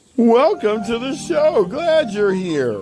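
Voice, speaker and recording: Put-on character voice from a man, pitched extremely high and delivered fairly slowly. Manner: exaggerated, cartoonish.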